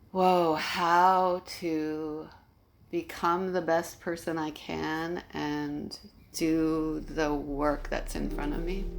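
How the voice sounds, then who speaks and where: A woman's fairly low, monotone voice at a very slow pace, with flat intonation and audible room echo. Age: 60s. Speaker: educator and nurse. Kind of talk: interview. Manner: halting.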